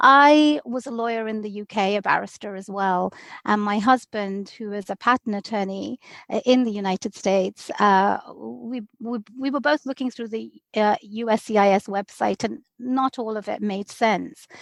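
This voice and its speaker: In a British accent, a woman with a fairly high voice speaks at a moderate pace with ordinary pitch variation, in a dry, close sound with no echo and a quiet background. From London, England (also Bangladesh). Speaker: immigration lawyer. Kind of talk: podcast interview.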